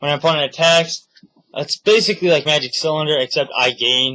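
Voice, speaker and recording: A man's fairly high voice shows ordinary pitch variation as he talks at a moderate pace. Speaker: card game deck showcase video maker. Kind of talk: casual deck showcase. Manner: halting, many filler words.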